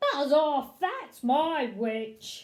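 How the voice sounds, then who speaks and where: A put-on character voice, high-pitched, shrill and croaky, with a growling edge. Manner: threatening, gruff.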